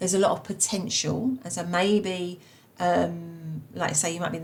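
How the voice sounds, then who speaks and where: Talking at a fairly quick pace with a Cockney accent, a woman with a fairly low pitch shows ordinary pitch variation amid noticeable background noise. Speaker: tarot reader. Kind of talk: tarot reading. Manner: halting, many fillers.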